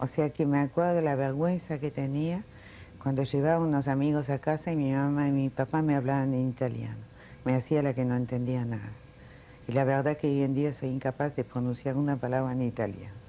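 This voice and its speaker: A woman's very deep, low voice with a dark, mellow tone, fairly even intonation, very even loudness and a fairly quick pace. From France (Paris), born in Milan. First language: Italian, then French (speaking Spanish). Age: 60s. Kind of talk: oral history interview.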